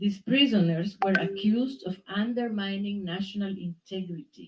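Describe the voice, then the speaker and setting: With a Spanish accent, a woman speaks at a moderate pace and a medium pitch. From Nicaragua. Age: 70s. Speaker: exiled writer. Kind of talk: public talk.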